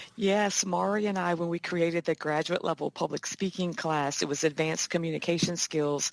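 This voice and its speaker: An ordinary speaking voice from a woman, fairly low in pitch and fairly quick, with fairly even intonation, hardly any pauses and a dry, close sound with no echo. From Virginia. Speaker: communications instructor. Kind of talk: interview. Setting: video call.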